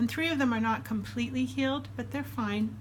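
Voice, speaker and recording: A woman's fairly even intonation, with audible room echo. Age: 60s. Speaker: weight loss surgery vlogger. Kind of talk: casual vlog update. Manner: casual, with frequent fillers.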